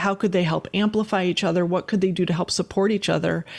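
Words come from a woman at a very fast pace. Her intonation stays fairly even. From US Midwest, Wisconsin. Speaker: futurist and consultant. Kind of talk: interview conversation.

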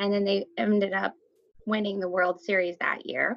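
A woman's medium-pitched voice with a US Midwestern accent, at a moderate pace. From Iowa, US Midwest. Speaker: art teacher. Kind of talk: casual storytelling chat.

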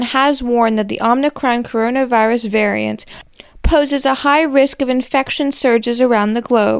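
A woman with a high pitch and fairly even intonation speaks at a moderate pace over noticeable background noise. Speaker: political news correspondent. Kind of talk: news report reading.

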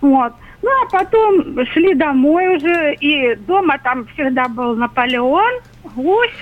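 Speaking very slowly at a very even loudness, a woman with a high pitch makes very wide pitch swings over noticeable background noise. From Russia, Rostov-on-Don. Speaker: caller. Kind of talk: phone-in reminiscence. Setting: phone call.

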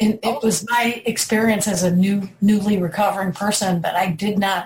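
A woman talks at a moderate pace in a somewhat breathy voice. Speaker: person in recovery. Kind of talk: group discussion.

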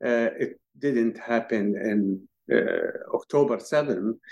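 This is a man speaking with an Arabic accent. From Palestinian refugee camp in Lebanon. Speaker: Palestinian activist. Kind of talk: interview. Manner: halting, many fillers.

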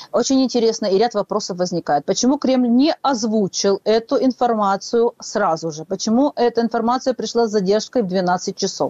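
This is a normal speaking voice from a woman with a fairly high pitch. She keeps a moderate pace and lively intonation. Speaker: political analyst. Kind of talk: live radio interview.

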